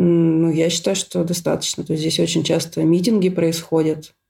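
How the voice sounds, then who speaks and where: The voice has a dark, mellow tone with vocal fry, moving at a moderate pace in a monotone, flat intonation. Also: woman. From Russia, Syktyvkar (Komi Republic). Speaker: scientist, emigrant. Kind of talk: casual interview.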